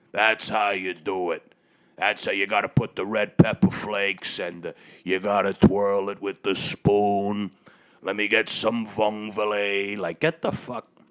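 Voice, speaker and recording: This man speaks at a fairly slow pace with a fairly low pitch. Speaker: podcast host. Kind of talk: casual monologue rant. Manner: animated, profane.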